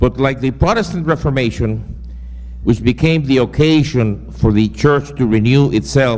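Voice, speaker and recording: A man with a Spanish accent and a medium pitch speaks at a moderate pace with lively intonation over noticeable background noise. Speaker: seminary professor. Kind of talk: lecture. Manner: reading from a prepared text.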